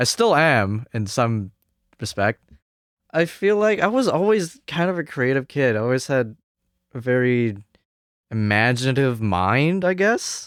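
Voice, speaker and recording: In a Cantonese accent, a man talks at a fairly slow pace with long, frequent pauses, medium pitch and very wide pitch swings. His loudness stays very even, and the recording is very clean with a silent background. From Hong Kong, moved to Canada at nine. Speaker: jazz trumpet student. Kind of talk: interview podcast. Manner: hesitant, many fillers.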